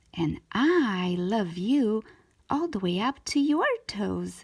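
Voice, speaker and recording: Using a put-on character voice, a woman speaks at a very slow pace. Her pitch is medium and her tone gentle and warm. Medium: read story. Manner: gentle, warm.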